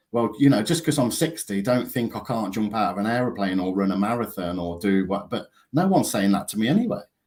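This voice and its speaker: Talking very fast with an English accent, a man uses lively intonation. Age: 50s. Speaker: counsellor and author. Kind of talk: casual chat.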